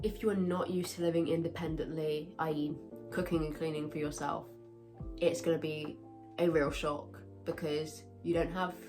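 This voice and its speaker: With a British accent and lively intonation, a woman speaks at a very deep, low pitch over music in the background. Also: moderate pace. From UK. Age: 20s. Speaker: university student. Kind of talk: casual advice talk to camera.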